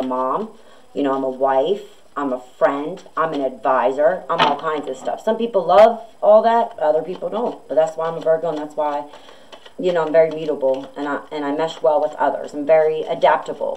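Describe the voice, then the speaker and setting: Over noticeable background noise, a woman speaks at a moderate pace in a very deep, low pitch, with big swings in loudness. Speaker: tarot reader. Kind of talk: casual tarot reading monologue.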